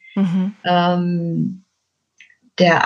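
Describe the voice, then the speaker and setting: A woman speaks in a fairly low pitch. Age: 50s. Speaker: children's book author and donkey coach. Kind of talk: interview about life story.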